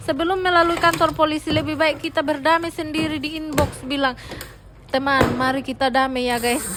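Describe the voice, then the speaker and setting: Noticeable background noise accompanies a woman speaking fairly quickly at a high pitch with fairly even intonation. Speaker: content creator and student. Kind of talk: casual vlog voiceover. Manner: stumbling, tongue-tied.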